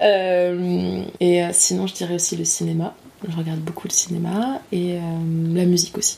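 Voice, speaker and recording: There is noticeable background noise as a woman speaks with a fairly low pitch. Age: 20s. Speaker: master's student. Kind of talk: casual interview. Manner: hesitant, many fillers.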